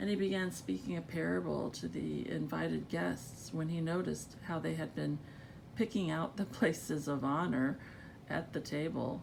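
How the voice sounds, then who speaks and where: A woman with a very deep, low pitch, vocal fry, very wide pitch swings and a moderate pace. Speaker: Bible narrator. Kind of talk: Bible reading.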